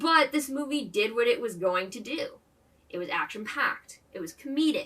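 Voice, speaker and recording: The voice is raised and projected, with an animated tone that is bright and sharp. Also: woman. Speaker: movie review vlogger. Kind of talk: casual vlog commentary. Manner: fast when excited.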